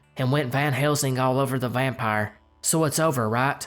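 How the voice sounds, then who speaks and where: With music playing in the background, a man talks at a moderate pace in a fairly high pitch, his pitch varying in an ordinary way. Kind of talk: folklore narration.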